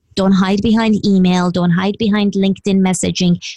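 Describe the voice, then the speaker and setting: At a moderate pace and medium pitch, a woman's somewhat breathy voice comes through dry and close, with no echo. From Iran. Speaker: business coach. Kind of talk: interview.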